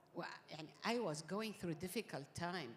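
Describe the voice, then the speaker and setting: A woman with a Gulf Arabic accent, lively in intonation, at a fairly slow pace. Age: 60s. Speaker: summit panel speaker. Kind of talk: panel interview. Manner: code-switching Arabic and English.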